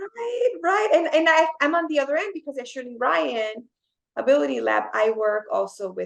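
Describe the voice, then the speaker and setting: A woman speaks with a Spanish accent. She goes at a fairly quick pace. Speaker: occupational therapist. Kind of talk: podcast interview.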